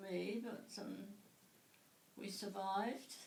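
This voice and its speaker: A woman with a southern English accent and fairly even intonation, amid noticeable background noise and audible room echo. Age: 80s+. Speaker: interviewee. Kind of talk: interview. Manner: halting.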